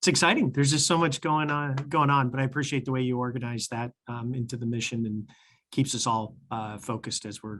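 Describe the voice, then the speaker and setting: A man with a plain, everyday voice at medium pitch, fairly quick and fairly even in intonation, with big swings in loudness. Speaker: transit agency executive. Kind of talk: board meeting report.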